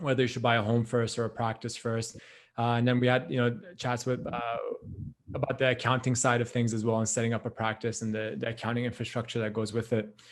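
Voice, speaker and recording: At a medium pitch, a man talks at a very fast pace. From Canada. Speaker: podcast host, dentist. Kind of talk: podcast interview.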